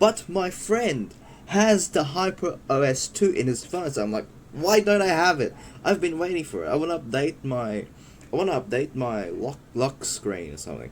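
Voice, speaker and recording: A man's voice, fairly high in pitch, with very wide pitch swings. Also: moderate pace. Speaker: tech youtuber reviewing own phones. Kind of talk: casual video tutorial. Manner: halting, with stutters and fillers.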